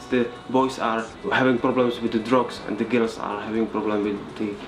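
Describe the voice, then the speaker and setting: A man with a Czech accent speaks at a moderate pace in a medium pitch and a monotone, flat intonation, with noticeable background noise and audible room echo. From Czech Republic, Nové Sedlo near Karlovy Vary. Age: 20s. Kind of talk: documentary interview. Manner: halting.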